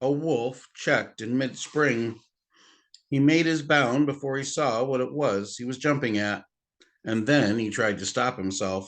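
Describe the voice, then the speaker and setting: An ordinary speaking voice, this man talks at a medium pitch and a fairly slow pace with ordinary pitch variation against a quiet background. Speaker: grandfather reading aloud to children. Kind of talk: audiobook-style reading of a novel aloud.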